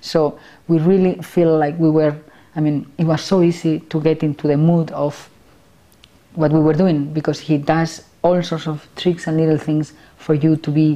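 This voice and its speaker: A woman speaks in a Spanish accent with a very deep, low pitch. Her intonation is monotone and flat, her tone dark and mellow. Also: moderate pace. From Spain. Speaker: film director and actress. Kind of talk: interview. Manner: halting.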